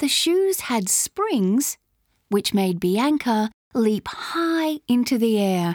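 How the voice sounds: Over a quiet background comes a natural reading voice.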